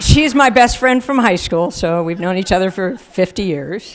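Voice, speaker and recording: It is a plain, everyday voice. The pace is moderate and the pitch varies in an ordinary way. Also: woman. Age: 60s. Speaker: hall of fame inductee, running store co-founder. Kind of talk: acceptance speech.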